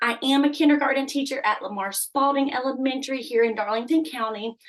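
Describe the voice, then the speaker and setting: A woman with an American accent speaks loudly at a moderate pace, her high pitch showing ordinary variation. Noticeable background noise sits behind her. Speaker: kindergarten teacher. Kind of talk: presentation. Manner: animated.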